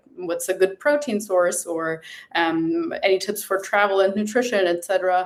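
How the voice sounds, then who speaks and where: The speaker has a German accent and keeps a moderate pace. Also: woman. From Germany. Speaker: nutrition coach. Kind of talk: interview podcast.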